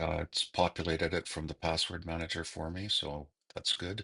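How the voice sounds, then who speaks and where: A bright, sharp tone at a fairly slow pace, dry and close with no echo, over a quiet background. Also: man. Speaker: instructor. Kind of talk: tutorial.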